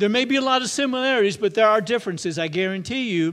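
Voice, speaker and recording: In a very clean recording with a silent background, a man speaks at a high pitch with ordinary pitch variation. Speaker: pastor. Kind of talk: sermon. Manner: loud.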